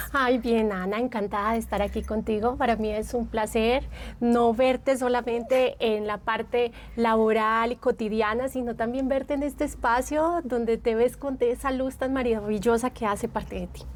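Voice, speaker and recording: A woman with an Antioquian accent speaks at a moderate pace in a fairly high voice with fairly even intonation. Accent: Antioquian Colombian (paisa). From Colombia, Medellín (Antioquia). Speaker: psychologist and therapist. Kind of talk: podcast interview.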